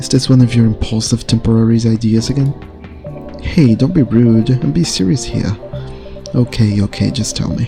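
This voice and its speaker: A soft-spoken man talks at a medium pitch and moderate pace with ordinary pitch variation while music plays in the background. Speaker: gaming ASMR streamer. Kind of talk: reading game dialogue aloud.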